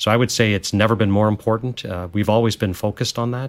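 In a very clean recording with a silent background, a man with a Canadian accent speaks in an unremarkable speaking voice, fairly low in pitch, with fairly even intonation. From Canada. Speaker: medtech company CEO. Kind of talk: interview.

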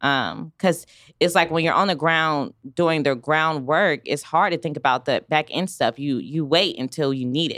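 With an American accent, a woman speaks at a very deep, low pitch with ordinary pitch variation, the sound dry and close with no echo. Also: moderate pace, very clean recording, silent background. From US South, Raleigh, North Carolina. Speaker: small business owner. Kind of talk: interview. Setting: studio.

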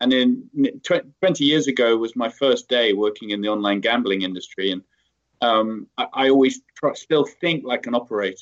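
Here a man talks at a moderate pace and a medium pitch. His pitch variation is ordinary. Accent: British. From UK. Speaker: tech company CEO. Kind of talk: interview.

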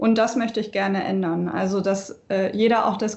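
A woman's somewhat breathy voice carries fairly even intonation. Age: 20s. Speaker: local election candidate. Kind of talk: casual chat.

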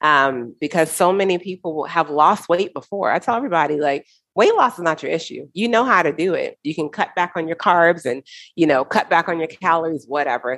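A woman with an American accent and a plain, everyday voice, fairly low in pitch, lively intonation, a fairly quick pace, and a very clean recording over a silent background. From United States. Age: 40s. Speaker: nutrition coach. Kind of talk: interview.

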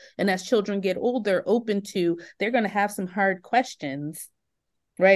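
With lively intonation, a woman talks in a plain, everyday voice with an American accent. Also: quiet background. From Oakland, California. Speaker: teacher trainer. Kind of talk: interview.

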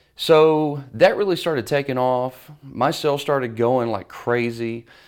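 A man speaks with a Southern US accent and ordinary pitch variation. The recording is very clean, with a silent background. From US South, Mississippi. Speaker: business coach. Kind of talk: interview.

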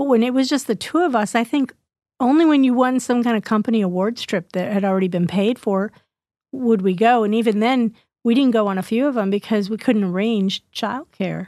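A woman's fairly high, dark, mellow voice at a fairly quick pace, ordinary pitch variation, very clean recording with a silent background. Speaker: podcast host. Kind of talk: casual chat.

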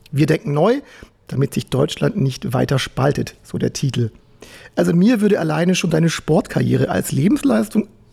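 Noticeable background noise sits under this recording. The man speaking has a fairly high pitch. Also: very wide pitch swings, moderate pace. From Swabia, Germany. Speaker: podcast host. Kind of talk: casual interview chat.

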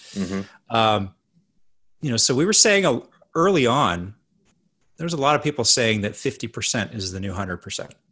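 A man with a western Canadian accent, a bright, sharp tone, lively intonation, and long, frequent pauses over a quiet background. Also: medium pitch for a man, moderate pace. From Canada (Edmonton, Alberta). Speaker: hotel management consultant. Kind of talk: casual chat.

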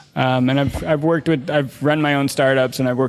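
With music in the background, a man speaks in a monotone, flat intonation at medium pitch. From US Midwest, Chicago. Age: 40s. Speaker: journalist and podcaster. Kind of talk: casual interview conversation.

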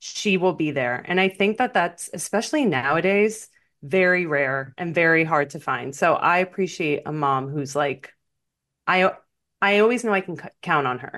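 A woman talks in a plain, everyday voice at a moderate pace, her pitch fairly low and her intonation lively. Her loudness swings widely against a quiet background. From Miami, US. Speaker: podcast co-host. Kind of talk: casual chat.

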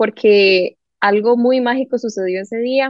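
A woman with a normal speaking voice talks at a fairly slow pace, her fairly high pitch showing ordinary variation. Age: 20s. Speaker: entrepreneur. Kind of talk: casual chat.

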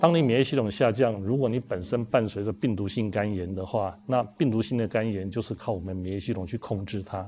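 With a dark, mellow tone and a fairly low pitch, a man talks at a fairly quick pace with ordinary pitch variation. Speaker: hepatologist, hospital department head. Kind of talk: expert explanation in panel talk.

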